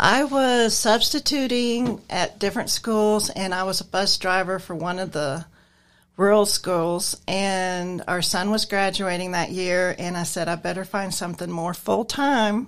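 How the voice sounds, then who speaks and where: A woman with an American accent has an unremarkable speaking voice at a medium pitch and fairly slow pace, with ordinary pitch variation. The recording is very clean, with a silent background. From Nebraska. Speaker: transportation driver and receptionist. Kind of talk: casual interview.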